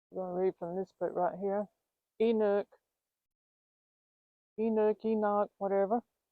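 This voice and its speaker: In a Southern US accent, a woman of medium pitch speaks at a fairly slow pace with fairly even intonation. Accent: Southern American. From Southern United States. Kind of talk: casual talk to camera. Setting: outdoors.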